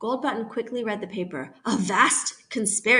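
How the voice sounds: Pitch varies in an ordinary way in this natural reading voice.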